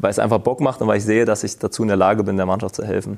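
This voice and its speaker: A man speaks with a dark, mellow tone. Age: 30s. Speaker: professional footballer, team captain. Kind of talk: interview. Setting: stadium.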